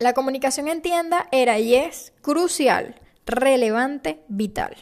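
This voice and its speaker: A woman speaks at a high pitch in a warm tone with ordinary pitch variation. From Venezuela. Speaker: podcast host. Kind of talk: personal storytelling podcast monologue. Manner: warm, conversational.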